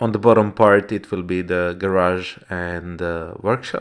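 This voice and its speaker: A man with a non-native accent speaks at a very slow pace, his voice very deep and low. His intonation is fairly even, and the recording is very clean with a silent background. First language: not English. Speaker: woodworker and DIY builder. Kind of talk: video narration. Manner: halting, many fillers.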